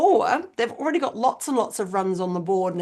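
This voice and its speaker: The speaker is a woman with an Australian accent. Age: 50s. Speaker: business strategist. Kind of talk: interview conversation. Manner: animated.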